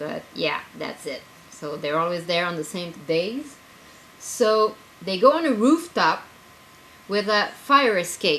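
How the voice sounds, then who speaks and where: A woman speaks loudly with very wide pitch swings. Noticeable background noise is present. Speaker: writer and zine editor. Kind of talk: casual video blog. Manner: animated.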